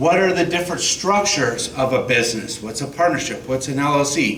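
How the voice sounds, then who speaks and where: A man's voice sits at a fairly high pitch, with audible room echo and noticeable background noise around it. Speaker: state tax outreach officer. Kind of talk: presentation to an audience. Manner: loud.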